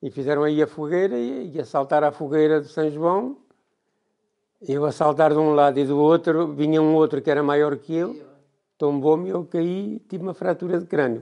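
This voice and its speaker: Against a quiet background, a man with a fairly high pitch and a dark, mellow tone speaks at a moderate pace with ordinary pitch variation. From central Portugal, Boco near Vagos; central Portugal. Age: 70s. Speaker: retired villager, former tailor and milk distributor. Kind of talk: oral history interview. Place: home room. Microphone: lapel.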